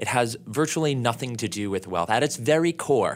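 A plain, everyday voice from a man, moderate in pace with ordinary pitch variation, on a very clean recording with a silent background. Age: 30s. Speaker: financial advisor. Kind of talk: interview.

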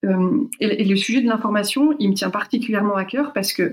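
A woman speaks at a moderate pace. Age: 40s. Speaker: marketing and communication consultant. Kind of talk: interview.

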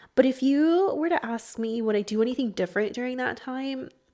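A woman's normal speaking voice in an American accent, lively in intonation, at a moderate pace over a quiet background. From Texas, Houston. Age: 20s. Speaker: podcast host. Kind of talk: personal monologue. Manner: casual, frequent laughter and fillers.

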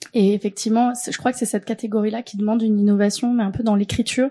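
Against a quiet background, a woman speaks very fast in a monotone, flat way, her voice somewhat breathy with a dark, mellow tone. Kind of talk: casual chat. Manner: hesitant, many fillers.

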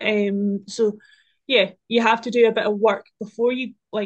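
With a southern Scottish accent, the speaker talks at a fairly slow pace in a monotone, flat intonation. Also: woman. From Scotland, Dumfriesshire. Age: 20s. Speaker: land agent assistant and farmer. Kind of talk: casual chat.

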